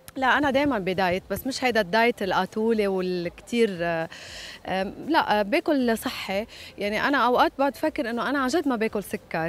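A woman with a fairly high pitch speaks at a moderate pace, her intonation lively and the sound dry with no echo. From Lebanon. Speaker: singer. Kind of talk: interview. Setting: hotel. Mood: lively, candid. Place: waterside. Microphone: handheld.

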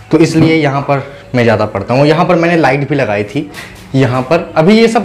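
A man talks with lively intonation over light background noise. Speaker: student vlogger. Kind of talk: casual vlog chat. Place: home room. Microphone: lapel.

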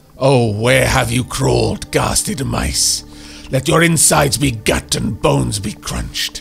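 A man's booming, put-on character voice at medium pitch and a fairly slow pace, with clear music in the background. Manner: menacing, threatening.

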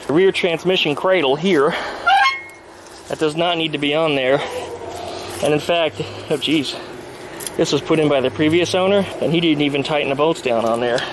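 A man speaks at a moderate pace with very even loudness and fairly even intonation, taking long, frequent pauses, in a dry sound with no echo over noticeable background noise. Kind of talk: tutorial. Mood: relaxed, joking. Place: garden. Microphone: phone near.

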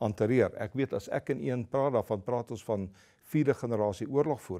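Against a quiet background, a man speaks in a dark, mellow tone at a medium pitch with ordinary pitch variation. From South Africa. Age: 70s. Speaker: retired army general; interview guest. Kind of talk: interview. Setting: studio. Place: studio. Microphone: lapel.

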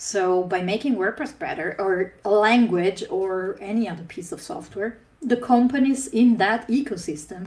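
The speaker keeps a moderate pace. Their intonation is lively. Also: woman. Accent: non-native. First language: not English. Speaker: conference speaker. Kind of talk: conference talk. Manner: frequent filler 'uh' hesitations. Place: home room. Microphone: webcam.

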